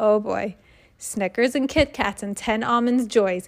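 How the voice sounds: What you hear is a natural reading voice.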